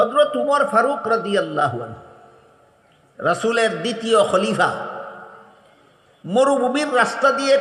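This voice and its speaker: A man with an extremely high pitch, a dramatic tone and ordinary pitch variation. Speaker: Islamic scholar giving a sermon. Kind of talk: religious sermon (waz) delivered to a large public gathering. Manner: storytelling with dramatic emphasis.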